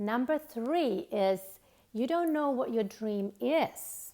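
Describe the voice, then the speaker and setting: The speaker is a woman. She has a Finnish accent. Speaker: author and self-help coach. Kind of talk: motivational talk to camera. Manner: halting, with fillers.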